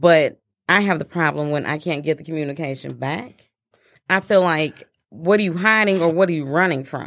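Heard in a very clean recording with a silent background, a woman with an ordinary speaking voice talks at a fairly low pitch, with ordinary pitch variation. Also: moderate pace. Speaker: guest. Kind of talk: casual chat.

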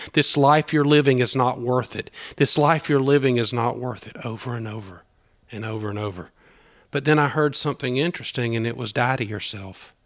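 Against a quiet background, a man with a Southern US accent talks at a fairly quick pace with big swings in loudness. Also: medium pitch for a man, ordinary pitch variation. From US South, southern Georgia. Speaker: small-town revitalizer, business owner. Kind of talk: testimony interview. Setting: in person in Opelika.

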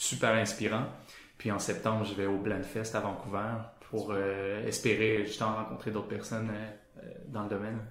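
In a room with audible echo, a man speaks at a moderate pace with a fairly low pitch and a monotone, flat intonation. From Quebec, Sherbrooke. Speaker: motion designer. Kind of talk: casual interview. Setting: studio office.

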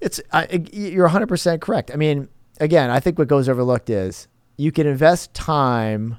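A man with a plain, everyday voice and a fairly high pitch talks at a moderate pace with lively intonation on a very clean recording with a silent background. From New Jersey, raised in southwest Florida from 1987. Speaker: real estate developer and lender. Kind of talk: interview conversation.

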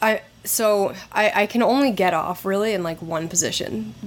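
The background noise is noticeable. A woman with a medium pitch speaks at a fairly slow pace. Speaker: podcaster. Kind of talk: casual chat. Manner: frank, funny.

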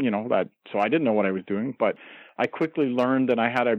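Talking at a fairly quick pace, a man with a Canadian accent uses a normal speaking voice at a medium pitch with ordinary pitch variation. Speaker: wrestling journalist. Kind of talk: interview. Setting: phone call.

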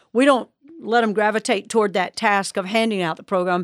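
A woman in an ordinary speaking voice, medium in pitch with fairly even intonation, dry and close with no echo, on a very clean recording with a silent background. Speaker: church connections ministry leader. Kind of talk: panel discussion.

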